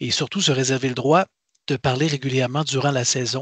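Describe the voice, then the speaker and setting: A medium-pitched man with a Quebec accent and vocal fry speaks at a fairly quick pace with fairly even intonation, in a dry, close sound with no echo and a quiet background. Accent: Québécois French. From Quebec, Canada. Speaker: podcast co-host. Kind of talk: casual chat.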